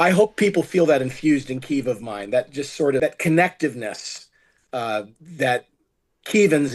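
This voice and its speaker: A man with an American accent and a plain, everyday voice, at a moderate pace with lively intonation, over a quiet background. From United States. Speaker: film producer. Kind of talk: interview.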